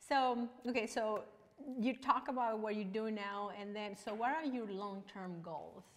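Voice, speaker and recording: A woman with a Mexican accent speaks at a fairly slow pace and a fairly high pitch, with ordinary pitch variation. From Mexico. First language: Spanish. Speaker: online talk show host. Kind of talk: casual interview. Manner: animated, excitable. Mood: cheerful, laughing. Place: studio.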